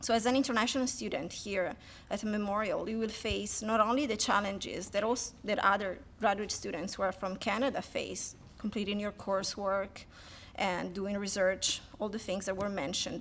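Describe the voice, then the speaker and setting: A woman with a medium-pitched voice and a slight Italian accent speaks at a moderate pace with fairly even intonation and some vocal fry. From Italy. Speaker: PhD student. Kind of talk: speech to an audience.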